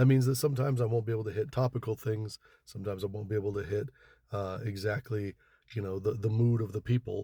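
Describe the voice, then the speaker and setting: Over a very clean recording with a silent background and a dry, close sound with no echo, a man speaks very fast with fairly even intonation and a dark, mellow, somewhat breathy tone. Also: fairly low pitch for a man. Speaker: social media video creator. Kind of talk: casual monologue to camera. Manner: halting, repeats words.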